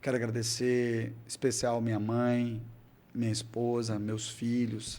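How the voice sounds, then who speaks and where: There is audible echo in the room. The talking unfolds very slowly. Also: man. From Brazil, Cáceres, Mato Grosso. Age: 50s. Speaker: city councillor and engineer. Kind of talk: interview.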